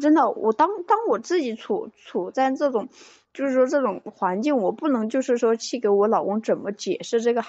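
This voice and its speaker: A woman speaks at a moderate pace with lively intonation. She has a plain, everyday voice. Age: 20s. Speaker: caller seeking relationship advice. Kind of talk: call-in advice conversation. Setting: phone call into live stream.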